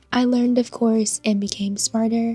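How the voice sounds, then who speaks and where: With music in the background, a woman with a fairly high pitch talks at a moderate pace and fairly even intonation, in a dry, close sound with no echo. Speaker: gacha game player. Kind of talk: casual game account tour voiceover.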